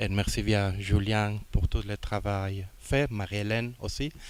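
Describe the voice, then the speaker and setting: On a very clean recording with a silent background, a man with a non-native accent and a fairly low pitch speaks at a very slow pace with fairly even intonation. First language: not French (speaking French). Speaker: international organization director. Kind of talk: formal speech. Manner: halting.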